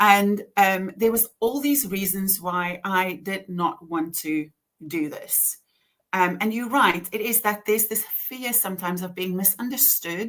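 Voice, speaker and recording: Speaking with a strong Afrikaans accent, a woman talks at a fairly slow pace in a medium pitch with ordinary pitch variation. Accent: heavy Afrikaans. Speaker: author and author coach. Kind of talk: casual chat. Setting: live stream video call.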